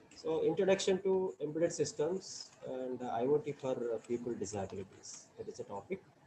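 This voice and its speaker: Over noticeable background noise, a man talks at a fairly quick pace with fairly high pitch and very wide pitch swings. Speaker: professor. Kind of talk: lecture. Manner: halting, many fillers. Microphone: too quiet at first.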